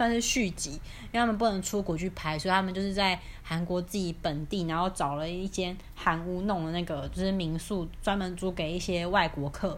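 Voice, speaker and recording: Speaking at a fairly quick pace, a woman sounds animated at a medium pitch. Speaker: podcast co-host. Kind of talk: casual chat.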